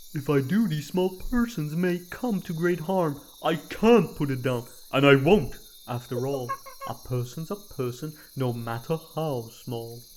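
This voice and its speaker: Over clear background noise, a put-on character voice at a middle pitch moves at a moderate pace. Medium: read story.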